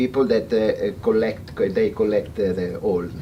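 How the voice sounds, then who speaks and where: The speaker is a man with an Italian accent. He talks at a fairly slow pace. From Italy. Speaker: veterinarian. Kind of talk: seminar talk. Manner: halting.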